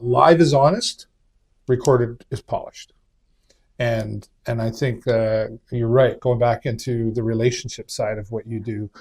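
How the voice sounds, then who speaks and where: A man at a fairly slow pace, somewhat breathy, medium in pitch, with big swings in loudness and fairly even intonation. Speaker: talk show host. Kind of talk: interview.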